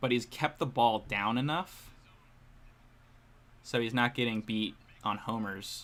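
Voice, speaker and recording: On a very clean recording with a silent background, a man speaks quietly at a fairly slow pace and a medium pitch. His pitch varies in an ordinary way, broken by long, frequent pauses. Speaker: baseball streamer. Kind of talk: live watch-along commentary. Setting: live stream, headphones around head. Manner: mumbling at times.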